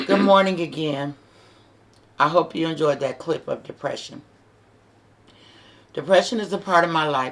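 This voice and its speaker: There is ordinary pitch variation in this woman's very deep, low voice. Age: 60s. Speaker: vlogger giving advice to single moms. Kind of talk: inspirational talk to camera. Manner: earnest, conversational.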